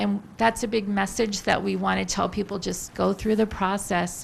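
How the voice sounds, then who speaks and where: She has a medium-pitched voice with vocal fry. The woman keeps fairly even intonation at a moderate pace. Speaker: government public affairs specialist. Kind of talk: public briefing. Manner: soft-spoken.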